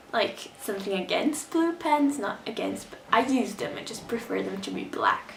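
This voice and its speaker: With music in the background and audible room echo, a woman speaks at a moderate pace with lively intonation. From Brazil. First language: Portuguese. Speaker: vlogger. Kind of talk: casual vlog monologue. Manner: animated.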